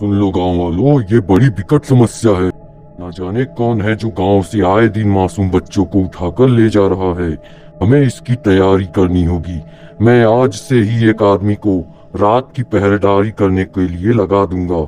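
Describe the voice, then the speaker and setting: Over clear background music, a man does a cartoonish character voice at a fairly low pitch. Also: moderate pace. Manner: authoritative.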